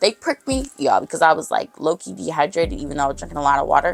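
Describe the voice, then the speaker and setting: A woman at a very fast pace with music in the background. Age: 20s. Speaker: vlogger. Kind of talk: casual chat. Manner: animated.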